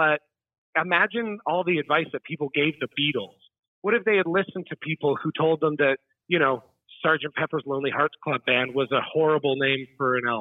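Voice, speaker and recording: A man speaks in a normal speaking voice, pitched fairly high with ordinary variation. He talks at a fairly quick pace. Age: 30s. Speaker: musician and teacher. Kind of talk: interview. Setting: phone call.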